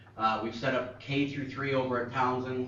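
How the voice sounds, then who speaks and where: Over noticeable background noise and audible room echo, a man speaks at a fairly quick pace in a medium-pitched voice with monotone, flat intonation. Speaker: school technology staff. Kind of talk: board meeting presentation. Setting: school board meeting. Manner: fast.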